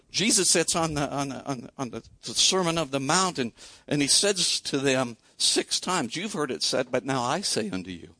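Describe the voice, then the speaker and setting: Fairly high in pitch, a man with a Midwestern US accent speaks at a moderate pace with lively intonation, the sound dry and close with no echo. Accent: US Midwest. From Iowa. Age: 60s. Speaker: pastor. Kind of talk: sermon. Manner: conversational, with frequent fillers.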